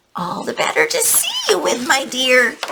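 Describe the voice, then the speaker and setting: In a put-on character voice that sounds female, the speaker uses a fairly high, hoarse pitch at a moderate pace. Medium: read story. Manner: sly, put-on softness.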